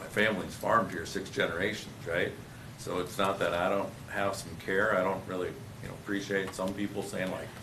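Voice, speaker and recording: A man with an Upper Midwest accent talks at a fairly quick pace in a fairly low, monotone, flat voice, with audible room echo and noticeable background noise. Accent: Upper Midwest American. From Dayton, Minnesota. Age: 60s. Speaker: developer. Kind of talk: public meeting discussion.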